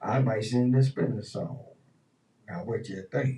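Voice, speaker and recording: A man's medium-pitched voice with vocal fry. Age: 60s. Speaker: radio host. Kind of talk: casual chat. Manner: animated.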